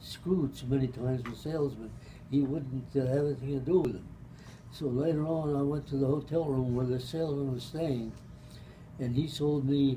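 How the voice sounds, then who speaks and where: A man's fairly high, somewhat breathy voice with a dark, mellow tone, fairly even intonation and a moderate pace, over light background noise. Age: 80s+. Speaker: retired pharmacist. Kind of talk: family storytelling. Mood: relaxed, amused. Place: meeting room. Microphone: camera far.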